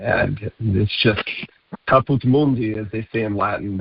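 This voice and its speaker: The man's voice sits at a medium pitch with ordinary pitch variation. His pace is fairly slow. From Utah, US (from age ten; born in Rome, early years New York). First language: Italian. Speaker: health supplement business executive. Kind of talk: radio interview.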